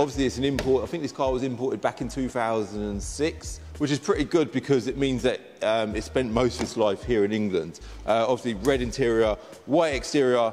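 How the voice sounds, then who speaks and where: Faint music plays in the background. A man speaks at a fairly quick pace. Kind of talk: casual vlog chat. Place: garage. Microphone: lapel.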